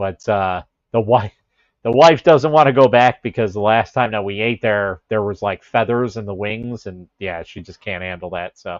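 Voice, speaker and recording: With an American accent, a man speaks at a moderate pace and a fairly low pitch with ordinary pitch variation and big swings in loudness, the sound dry and close with no echo over a quiet background. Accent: Chicago accent, comes out at times. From Chicago area. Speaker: livestreamer. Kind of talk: casual chat. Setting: livestream with headset mic.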